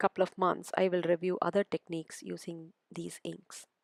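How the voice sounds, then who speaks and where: A woman with a Tamil accent talks at a moderate pace in a dry, close sound with no echo. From South India. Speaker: crafter, product reviewer. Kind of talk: tutorial.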